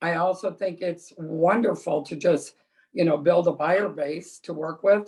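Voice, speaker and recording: Fairly low in pitch with fairly even intonation, a woman speaks in an ordinary speaking voice. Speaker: real estate agent. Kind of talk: panel discussion.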